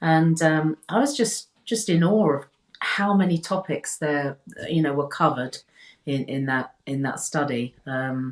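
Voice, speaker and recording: With a British accent, the speaker delivers the words at a fairly slow pace. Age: 60s. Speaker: health coach. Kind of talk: casual interview chat. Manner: halting, many repetitions.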